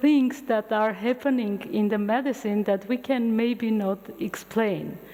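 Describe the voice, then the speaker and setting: Over noticeable background noise, a woman speaks with an Armenian accent. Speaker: physician and futurist lecturer. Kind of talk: public lecture. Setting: university lecture hall with audience.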